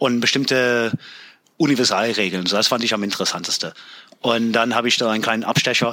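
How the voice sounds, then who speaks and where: Background noise is noticeable here. A man with an English accent speaks with fairly even intonation. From US, Pennsylvania (near York). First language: English (speaking German). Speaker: Air Force veteran. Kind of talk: casual interview.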